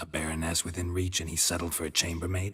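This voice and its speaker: A man uses a put-on character voice with very deep, low pitch. He talks very fast in a monotone, flat delivery. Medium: video game. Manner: deadpan, dry.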